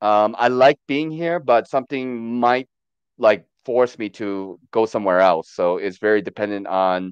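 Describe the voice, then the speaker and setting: A man with an ordinary speaking voice, medium pitch, lively intonation and a moderate pace, in a dry, close sound with no echo and a quiet background. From born in Korea, raised in the US from about age ten. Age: 40s. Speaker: livestream guest. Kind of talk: casual chat. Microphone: unstable Wi-Fi connection.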